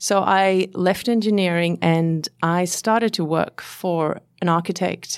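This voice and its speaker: A woman with a Swedish accent, fairly low pitch and ordinary pitch variation, in a very clean recording with a silent background. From southern Sweden. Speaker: interior designer. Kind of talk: interview. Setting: studio.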